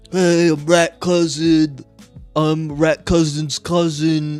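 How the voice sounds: A man's put-on character voice, fairly high and monotone, at a very slow pace over faint music in the background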